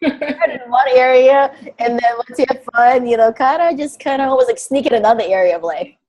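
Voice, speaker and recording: A woman speaks with an animated tone and a high pitch. Her pace is fairly quick. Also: ordinary pitch variation. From Russia, moved to US at twelve. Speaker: self-love coach. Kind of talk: casual interview chat.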